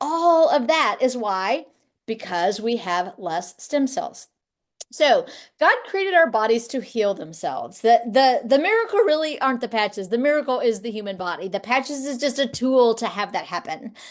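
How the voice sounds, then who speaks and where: Against a quiet background, a woman talks at a moderate pace in a high pitch with very wide pitch swings. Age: 60s. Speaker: life coach. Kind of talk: product presentation to camera.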